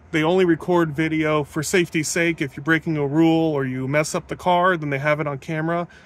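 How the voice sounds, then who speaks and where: A man's voice, dry and echo-free, with ordinary pitch variation and faint music in the background. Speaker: passenger vlogger. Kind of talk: casual vlog chat. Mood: enthusiastic, upbeat. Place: car. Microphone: phone near.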